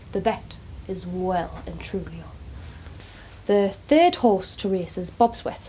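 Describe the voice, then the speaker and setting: A woman with a warm tone speaks at a very slow pace, with big swings in loudness and long, frequent pauses. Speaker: care home worker (carer). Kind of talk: dramatic monologue, casual talk to camera. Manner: chatty, warm, informal.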